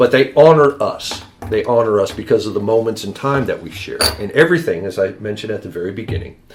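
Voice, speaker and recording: A man talks at a very fast pace and medium pitch, with lively intonation and big swings in loudness. Noticeable background noise runs underneath. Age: 60s. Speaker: Viking reenactor. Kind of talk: casual chat.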